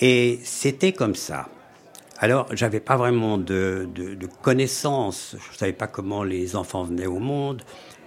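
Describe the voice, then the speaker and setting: Over noticeable background noise, a man talks very slowly in a fairly low pitch with ordinary pitch variation. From Switzerland, canton of Fribourg. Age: 80s+. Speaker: storyteller. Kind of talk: life story interview.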